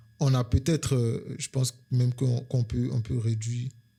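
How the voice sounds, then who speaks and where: A man speaks at a fairly slow pace in a dark, mellow tone. His voice is somewhat breathy. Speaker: UX/UI designer, tutorial creator. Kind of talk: screen-share tutorial. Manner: hesitant, many fillers.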